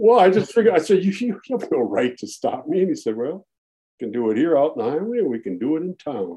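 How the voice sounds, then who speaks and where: Speaking with an American accent, a man's voice sits high and carries a dark, mellow tone. He talks very fast, his pitch swinging very widely. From US Midwest, Minneapolis. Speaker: retired teacher. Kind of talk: interview.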